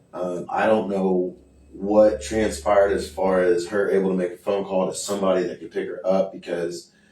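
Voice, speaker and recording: A man talks at a moderate pace with big swings in loudness over noticeable background noise. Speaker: citizen filing a complaint. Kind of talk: confrontational inquiry. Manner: halting.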